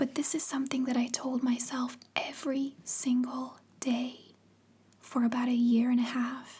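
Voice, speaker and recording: Soft-spoken and high-pitched, a woman with a dark, mellow tone talks at a moderate pace with monotone, flat intonation and very even loudness. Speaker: ASMR content creator. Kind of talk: personal storytelling.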